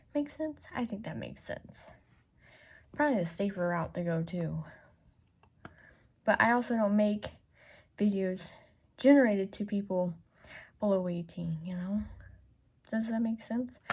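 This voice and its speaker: A woman's somewhat breathy voice at medium pitch, with ordinary pitch variation and long, frequent pauses, in a very clean recording against a silent background. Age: 20s. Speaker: beauty vlogger. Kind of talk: casual makeup swatch video. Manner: says certain words slowly.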